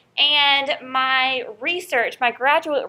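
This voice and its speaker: In a slight Southern US accent, a woman projects a high, bright, sharp voice in an animated tone, recorded very cleanly against a silent background. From North Carolina. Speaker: college professor. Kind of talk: lecture. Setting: classroom.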